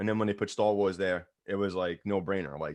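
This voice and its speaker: In a New York accent, a man speaks at a fairly low pitch. The background is quiet. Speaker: podcast co-host. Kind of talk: casual chat.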